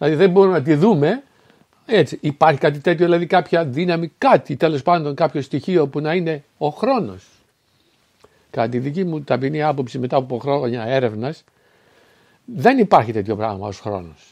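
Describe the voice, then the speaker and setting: A man speaks at a moderate pace with a fairly high pitch. His intonation is lively. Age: 60s. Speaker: spiritual philosophy speaker. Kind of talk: solo spoken talk. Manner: halting, with fillers and self-corrections.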